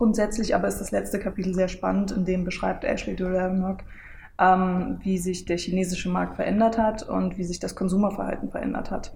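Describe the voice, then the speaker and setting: Somewhat breathy with a dark, mellow tone, a woman speaks in a flat monotone amid audible room echo. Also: medium pitch for a woman, fairly quick pace. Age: 20s. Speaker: online marketing lecturer. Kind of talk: casual interview, book presentation. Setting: coworking space in front of a camera.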